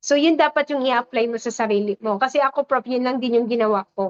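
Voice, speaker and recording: A woman speaks at a high pitch with ordinary pitch variation. The sound is dry and close, with no echo. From Visayas, Philippines. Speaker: network marketing leader. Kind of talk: testimony. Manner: energetic.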